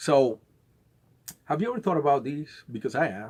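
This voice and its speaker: A man with a South American accent and lively intonation. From Venezuela. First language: Spanish. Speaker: conspiracy vlogger. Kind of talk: casual monologue. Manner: halting, with many repeated words.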